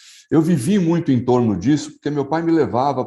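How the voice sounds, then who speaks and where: A man speaks in a dark, mellow tone. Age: 60s. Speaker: advertising executive. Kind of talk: interview testimony. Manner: hesitant, with fillers.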